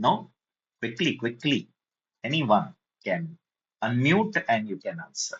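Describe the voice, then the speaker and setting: A man with a Marathi Indian accent speaks at a very slow pace, leaving long, frequent pauses. His fairly high pitch swings very widely, with vocal fry. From India (Maharashtra). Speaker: programming teacher. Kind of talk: online lecture.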